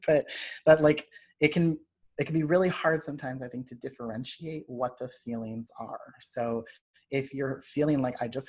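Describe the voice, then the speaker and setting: A man talks at a moderate pace in a plain, everyday voice. His pitch is medium, with ordinary variation. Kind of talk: lecture.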